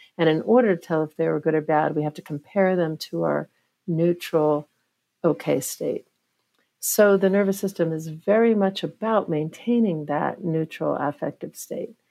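A woman talks at a moderate pace with a fairly low pitch and ordinary pitch variation. Her tone is dark and mellow. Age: 50s. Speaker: professor and neuroscientist. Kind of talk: interview.

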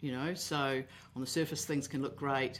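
Using a New Zealand accent, a woman with a very deep, low pitch talks at a moderate pace with fairly even intonation. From New Zealand, Auckland. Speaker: contracts expert for IT service providers. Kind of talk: podcast interview.

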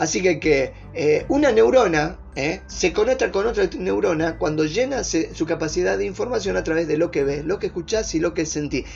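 Over music in the background, a man talks in an animated tone with hardly any pauses. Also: moderate pace. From northern Argentina (Orán, Salta, Bolivian border). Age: 40s. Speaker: life coach. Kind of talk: motivational talk.

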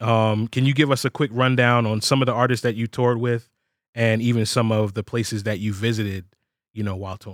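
The recording is very clean, with a silent background. A man with an unremarkable speaking voice talks at a medium pitch and a fairly quick pace, with fairly even intonation. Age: 30s. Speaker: sample pack company podcast host. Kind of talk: casual interview.

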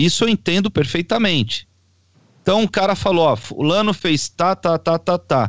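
A high-pitched man with lively intonation and very even loudness, in a dry, close sound with no echo. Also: moderate pace, very clean recording, silent background. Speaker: panelist, non-lawyer. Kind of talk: casual political discussion.

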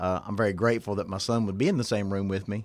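With a Southern US accent, a man talks at a fairly low pitch with fairly even intonation. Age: 40s. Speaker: pastor. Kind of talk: casual chat.

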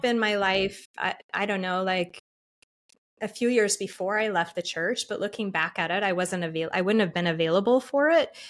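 With an ordinary speaking voice and an American accent, a woman talks at a medium pitch and a fairly quick pace with ordinary pitch variation, on a very clean recording with a silent background. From Utah, Salt Lake City. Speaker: shamanic energy healer. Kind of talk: interview conversation.

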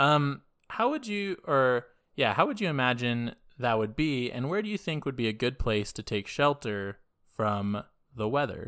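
Over a silent background in a very clean recording, a man's plain, everyday voice with an American accent, medium pitch, lively intonation and a moderate pace. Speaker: podcast co-host. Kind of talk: casual chat.

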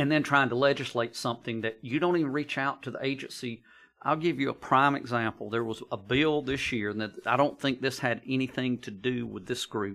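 A man with an American accent and a bright, sharp tone, at medium pitch with ordinary variation and a fairly quick pace, on a very clean recording with a silent background. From US South, north Georgia. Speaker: county emergency services director. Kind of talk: podcast interview. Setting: studio.

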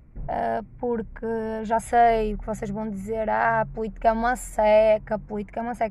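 In a northern Portuguese accent, a woman with a fairly high pitch and a dark, mellow tone speaks at a moderate pace with big swings in loudness. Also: hardly any pauses. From northern Portugal. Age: 20s. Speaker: podcaster. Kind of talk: casual monologue. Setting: in a car. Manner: animated.

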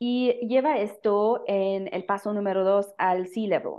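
At a very slow pace, a woman with a German accent speaks at a fairly high pitch with ordinary pitch variation. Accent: German speaker with Mexican-flavored Spanish. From Germany. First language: German (speaking Spanish). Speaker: social entrepreneur, company founder. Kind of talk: casual interview chat.

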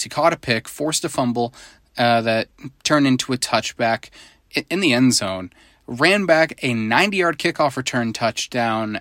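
In a very clean recording with a silent background, a man with an American accent speaks at a medium pitch and moderate pace. His delivery is animated and lively in intonation, and the sound is dry and close, with no echo. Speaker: high school football podcast co-host. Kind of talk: casual podcast monologue. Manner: animated, laughs often.

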